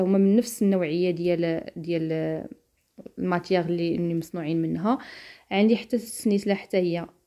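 A woman speaks with a Moroccan accent at a medium pitch. Her tone is dark and mellow. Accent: Moroccan Darija. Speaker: lifestyle vlogger. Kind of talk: tutorial. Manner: halting.

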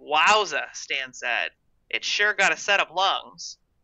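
The background is quiet while a natural reading voice carries the text.

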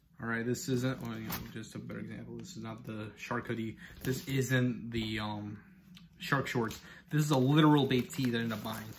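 With audible room echo around him, a man speaks fairly quickly in a somewhat breathy, medium-pitched voice with ordinary pitch variation. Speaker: fashion reviewer. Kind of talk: product review vlog. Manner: casual, stumbling.

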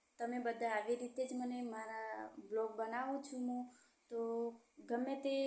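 A soft-spoken woman talks with a fairly high pitch in a monotone, flat intonation. Noticeable background noise runs underneath. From Gujarat, Aravalli district. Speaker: vlogger. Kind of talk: casual vlog talk. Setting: rented room at home. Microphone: voice recorded too quietly.

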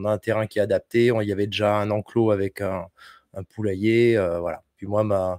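A man speaks with a fairly low pitch and fairly even intonation in an unremarkable speaking voice. The sound is dry with no echo, over a quiet background. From France, Bordeaux; France. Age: 40s. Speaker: homesteading content creator. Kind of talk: casual chat. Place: home room. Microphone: studio mic.

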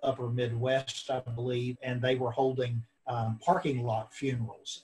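At a moderate pace, a man talks in a somewhat breathy voice with flat, monotone intonation. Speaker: professor and grief expert. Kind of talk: interview. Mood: earnest, thoughtful. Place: home room. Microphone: video call.

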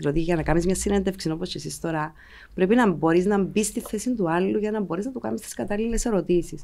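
A woman speaks with vocal fry. Her pitch is fairly low, with ordinary variation. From Cyprus (Limassol); Cyprus. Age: 40s. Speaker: politician and former TV journalist; politician, former TV journalist. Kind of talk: political interview. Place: studio. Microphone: studio mic.

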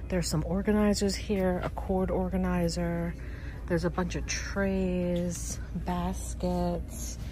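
A woman speaks in a dry sound with no echo. Loud background noise runs behind her. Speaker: lifestyle vlogger. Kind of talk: casual vlog chat. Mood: cheerful, delighted. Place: shop. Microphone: phone near.

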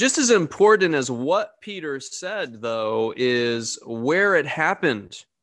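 This man talks at a very slow pace with very wide pitch swings. The background is quiet. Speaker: pastor. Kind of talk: sermon. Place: home room. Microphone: studio mic.

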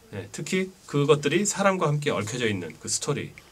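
A man speaking at a moderate pace. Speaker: documentary narrator. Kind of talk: interview answer praising a documentary. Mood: warm, admiring. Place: booth.

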